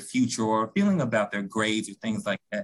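A man with a Memphis accent talks at a very fast pace, his pitch swinging very widely. His voice is somewhat breathy. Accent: Southern US (Memphis). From US South, Memphis, Tennessee. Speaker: school counselor. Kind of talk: interview podcast.

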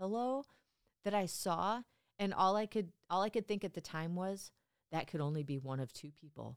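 Her moderate pace and lively intonation mark an ordinary speaking voice, as a woman speaks with a dry, close sound with no echo. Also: very clean recording, silent background. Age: 40s. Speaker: retail loss prevention worker. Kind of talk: casual chat.

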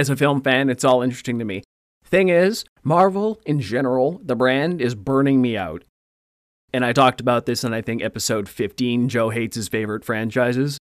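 A man with an unremarkable speaking voice, medium in pitch, at a fairly quick pace with lively intonation, in a dry, close sound with no echo. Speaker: podcast co-host. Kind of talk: casual chat.

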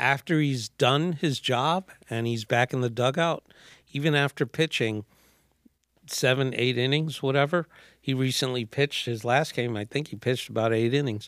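Dry and close with no echo, the voice carries a New York accent. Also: man, medium pitch for a man, ordinary pitch variation, moderate pace. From New York City, Manhattan. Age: 60s. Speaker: artist. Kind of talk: casual chat. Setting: studio.

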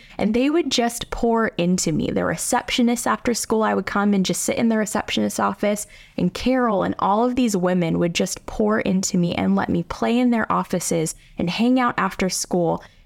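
Using a plain, everyday voice, a woman with an American accent speaks at a medium pitch and a moderate pace, with ordinary pitch variation and very even loudness. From US, South Hills suburbs. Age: 20s. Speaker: pastor. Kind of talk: testimony.

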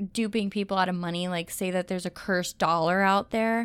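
A woman at a fairly quick pace, medium in pitch with ordinary pitch variation, in a Cleveland accent. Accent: Cleveland accent, Midwestern. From Cleveland, Ohio. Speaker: podcast co-host.

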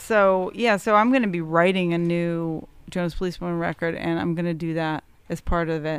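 A woman with an ordinary speaking voice, fairly low in pitch with ordinary pitch variation, at a moderate pace. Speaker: musician. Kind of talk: casual chat.

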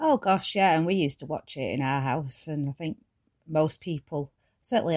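With a Manchester accent, a woman speaks at a moderate pace in a very deep, low pitch with ordinary pitch variation. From Tameside, Greater Manchester, England. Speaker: former soap actress. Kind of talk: interview.

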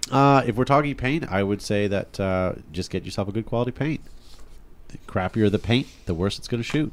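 At a moderate pace, a man with a fairly low pitch talks in a normal speaking voice with ordinary pitch variation. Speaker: podcast host. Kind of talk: casual chat.

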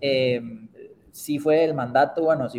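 Fairly high pitch and fairly even intonation in a man's voice. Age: 50s. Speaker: startup founder and CEO. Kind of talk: interview. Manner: halting, many repetitions.

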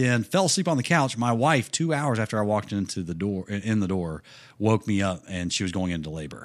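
Lively intonation marks this man's fairly low voice, heard in a very clean recording with a silent background. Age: 30s. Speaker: monster truck driver and author. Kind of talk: casual chat.

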